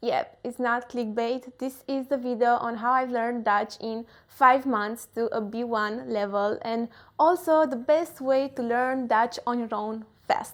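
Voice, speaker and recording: With a Romanian accent, a woman with a high pitch talks at a fairly slow pace and ordinary pitch variation. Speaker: self-development vlogger. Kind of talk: casual vlog talk to camera.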